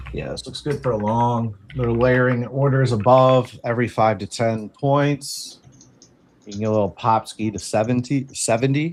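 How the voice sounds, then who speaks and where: In a Maryland accent, a man talks at a medium pitch with fairly even intonation. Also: moderate pace. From Maryland, Baltimore area. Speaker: day trader co-host. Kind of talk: live trading commentary and casual chat.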